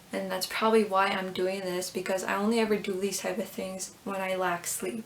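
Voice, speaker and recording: The speech moves at a fairly quick pace in a flat monotone, with noticeable noise in the background. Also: woman, medium pitch for a woman. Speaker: YouTuber, fan video maker. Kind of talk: casual vlog commentary.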